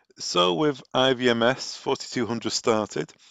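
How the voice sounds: With vocal fry and a fairly bright tone, a man speaks at medium pitch with ordinary variation, the sound dry and close with no echo.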